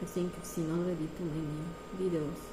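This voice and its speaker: A woman speaks in a Romanian accent. The clip carries audible room echo and noticeable background noise. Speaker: artist. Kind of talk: casual presentation of artworks. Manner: halting.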